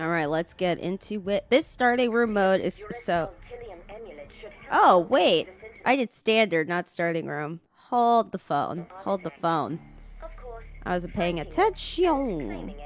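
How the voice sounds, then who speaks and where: Over music in the background, a woman with a medium pitch speaks very slowly, her intonation lively and her pauses long and frequent. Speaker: gaming streamer. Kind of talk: casual live stream chat. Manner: casual, halting with fillers.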